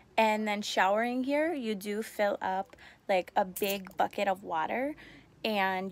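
A woman speaks with ordinary pitch variation in a dry sound with no echo. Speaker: expat host giving a tour. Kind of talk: casual vlog chat. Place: home room. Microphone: phone near.

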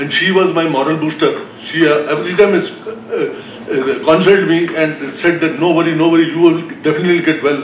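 A fairly quick pace in an Indian accent, with light background noise and audible room echo. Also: man. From North India. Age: 60s. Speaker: heart transplant patient. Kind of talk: personal testimony. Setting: stage with audience. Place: hall. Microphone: podium.

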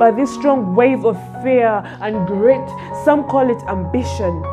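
A woman talks very slowly. Clear music sounds behind her. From Africa. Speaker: poet. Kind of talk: spoken word poetry. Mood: wistful, dramatic. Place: home room. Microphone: phone near.

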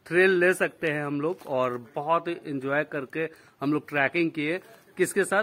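A man with a fairly high pitch and a fairly bright tone speaks with ordinary pitch variation.

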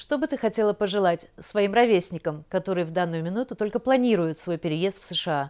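With hardly any pauses, a woman talks at a fairly quick pace with lively intonation against a quiet background. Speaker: TV show host. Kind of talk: scripted TV interview. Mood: polite, warm. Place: home room. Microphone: handheld.

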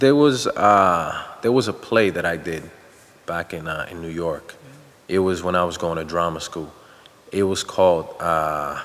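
Very deep and low, this man's voice moves at a fairly slow pace with ordinary pitch variation. His loudness rises and falls sharply. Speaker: actor being interviewed. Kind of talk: interview answer. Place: studio.

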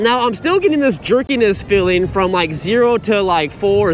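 A man talks at a fairly quick pace. The sound is dry with no echo, and there is noticeable background noise. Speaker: e-bike reviewer. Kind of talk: casual ride-along commentary. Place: bicycle.

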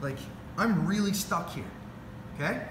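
A man with a high pitch, against noticeable background noise. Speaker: grappling coach. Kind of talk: tutorial. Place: gym. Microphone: camera far.

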